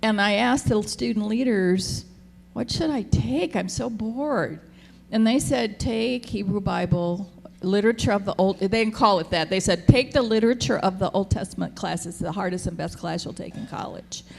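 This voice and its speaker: A woman speaks at a medium pitch and a moderate pace. Her intonation is lively, with vocal fry. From US, military family, born in Japan. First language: Japanese. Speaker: theologian, panelist. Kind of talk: panel discussion. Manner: casual, halting.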